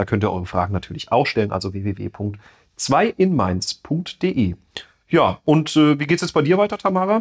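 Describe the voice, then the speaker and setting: The sound is dry and close, with no echo. A man with a fairly high pitch swings it very widely. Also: moderate pace. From Rhineland-Palatinate, Bad Kreuznach district. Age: 30s. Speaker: state parliament member, podcast co-host. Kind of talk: casual chat.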